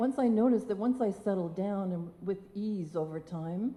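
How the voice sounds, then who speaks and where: Against audible room echo, a woman's medium-pitched voice sounds dark, mellow and somewhat breathy, with lively intonation. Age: 60s. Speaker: motivational speaker. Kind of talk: personal story talk on stage.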